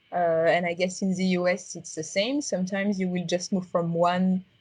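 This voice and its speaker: Her voice is medium in pitch for a woman and somewhat breathy. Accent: strong French. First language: French. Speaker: XR designer. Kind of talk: interview. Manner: halting, many fillers.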